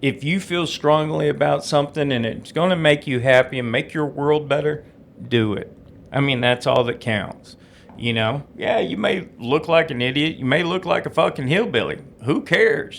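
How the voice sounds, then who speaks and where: A fairly high male voice with a Southern US accent, vocal fry, ordinary pitch variation and a moderate pace. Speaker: podcast host. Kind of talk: solo podcast monologue.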